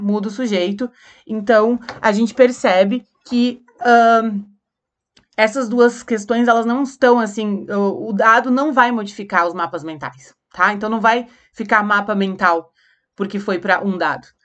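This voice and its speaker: An ordinary speaking voice, fairly slow, with ordinary pitch variation. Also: woman, fairly high pitch for a woman. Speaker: teacher. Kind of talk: lecture.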